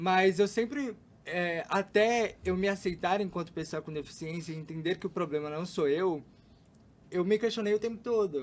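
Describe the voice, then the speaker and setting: Showing ordinary pitch variation, a man with a high voice speaks at a moderate tempo. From São Paulo, Brazil (East Zone). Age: 20s. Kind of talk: podcast interview.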